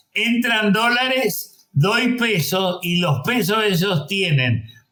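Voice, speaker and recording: Lively in intonation, a man speaks at a very slow pace. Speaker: economist. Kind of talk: panel discussion. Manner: halting.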